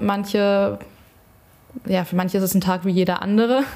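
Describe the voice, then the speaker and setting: A woman speaks in a monotone, flat intonation. Noticeable background noise runs underneath. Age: 20s. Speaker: student teacher and children's party entertainer. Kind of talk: casual chat.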